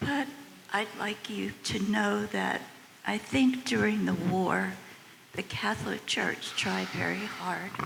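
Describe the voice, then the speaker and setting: Noticeable background noise sits behind this recording. A woman speaks at a very slow pace. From United States. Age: 80s+. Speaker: audience member. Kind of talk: audience question and testimony.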